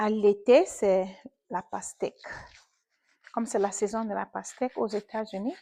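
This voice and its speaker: Her voice has a dark, mellow tone as this woman talks at a fairly slow pace with long, frequent pauses, and the sound is dry and close with no echo. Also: fairly high pitch for a woman, ordinary pitch variation. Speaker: vlogger. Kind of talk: casual chat. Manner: mixes French with English.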